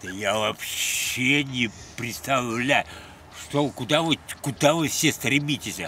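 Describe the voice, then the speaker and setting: Music plays in the background as a man speaks at a very slow pace. The sound is dry with no echo. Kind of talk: casual vlog chat, rambling monologue. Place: open country. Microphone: phone near.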